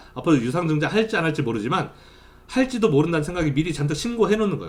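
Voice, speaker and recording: A man speaks with very wide swings in pitch. Audible echo fills the room. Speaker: university lecturer. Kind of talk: lecture; recorded online class. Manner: fast during lecture.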